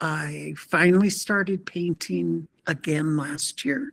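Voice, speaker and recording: With an American accent, a woman speaks at a very slow pace, the sound dry and close with no echo. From Montana, Blackfeet Nation. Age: 70s. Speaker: painter. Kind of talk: artist presentation. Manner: halting, many fillers.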